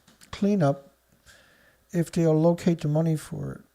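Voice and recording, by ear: The voice has a Newfoundland accent and a slightly mellow tone. Vocal fry runs through it. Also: man. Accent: Newfoundland Canadian.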